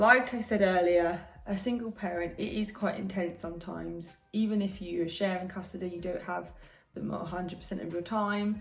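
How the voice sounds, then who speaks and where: The speech moves at a moderate pace with fairly even intonation, set against music in the background and audible room echo. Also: woman, medium pitch for a woman. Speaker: vlogger, single mother. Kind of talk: casual vlog talk. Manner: hesitant, with many fillers and restarts.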